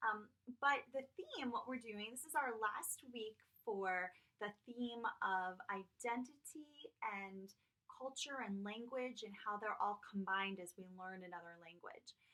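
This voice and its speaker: A woman's fairly high voice, bright and sharp in tone, with ordinary pitch variation, big swings in loudness and a fairly slow pace. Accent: American. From United States. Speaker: French teacher. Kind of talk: assignment instructions to students. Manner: casual, conversational.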